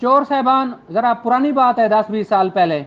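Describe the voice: A man's extremely high-pitched voice with lively intonation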